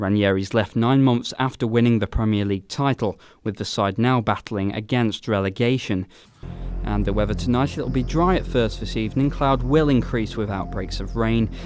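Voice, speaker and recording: Backed by music in the background, a man with a fairly low pitch speaks at a moderate pace with ordinary pitch variation. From UK. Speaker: radio presenter and journalist. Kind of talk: radio news bulletin reading.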